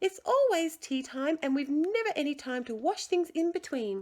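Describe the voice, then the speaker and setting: A woman's put-on character voice, squeaky and extremely high, with very wide pitch swings, raised and projected, at a moderate pace. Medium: read story.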